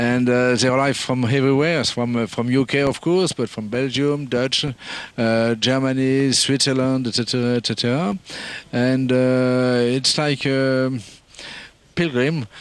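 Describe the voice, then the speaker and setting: In a French accent, a man at medium pitch speaks at a fairly slow pace, with fairly even intonation and very even loudness. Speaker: event organiser. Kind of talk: interview. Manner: halting, many fillers.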